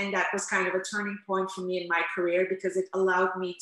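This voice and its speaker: A moderate-paced woman's voice amid noticeable background noise. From Netherlands, Amsterdam. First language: Turkish. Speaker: interpreter and language coach. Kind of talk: interview.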